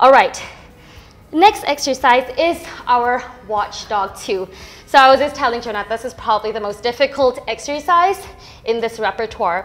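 In a calm tone, a woman with a high pitch and lively intonation speaks at a moderate pace, leaving long, frequent pauses. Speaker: Pilates instructor. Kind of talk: fitness class instruction. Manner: encouraging, rhythmic cueing; calm, instructive. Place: gym.

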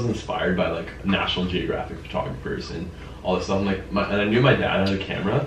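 A man with a fairly low pitch and ordinary pitch variation talks at a fairly quick pace, with audible room echo and light background noise. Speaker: interview guest. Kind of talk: interview answer. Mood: relaxed, friendly. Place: meeting room.

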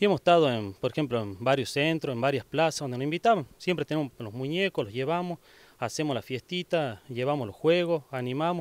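At a very fast pace, a man talks with lively intonation and a fairly high pitch, the sound dry with no echo. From Argentina, Catamarca (Oyola); Catamarca, Argentina. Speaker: community activist. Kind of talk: interview; interview answer. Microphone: handheld.

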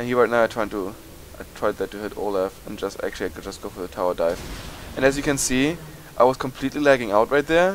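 Speaking fast, a man uses a medium pitch. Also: ordinary pitch variation.

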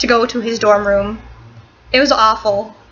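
A woman is speaking. Faint music plays behind her. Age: 18. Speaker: vlogger. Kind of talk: casual vlog storytelling. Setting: boyfriend's dorm room. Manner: fast, run-on storytelling. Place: home room. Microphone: webcam.

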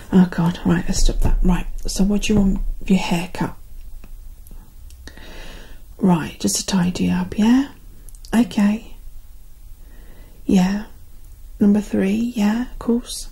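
A soft-spoken woman with a gentle tone, a very slow pace and long, frequent pauses. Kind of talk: soft role-play talk to the viewer. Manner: soft-spoken, gentle ASMR voice. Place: home room. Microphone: phone near.

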